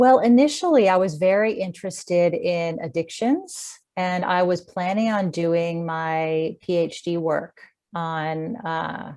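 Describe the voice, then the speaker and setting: With an American accent, this voice has a dark, mellow tone, ordinary pitch variation and a very slow pace with hardly any pauses. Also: woman, fairly low pitch for a woman. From US, Washington D.C. area. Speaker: clinical psychologist. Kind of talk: interview.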